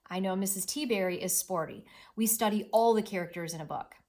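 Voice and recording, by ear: A passage is read aloud in a natural voice.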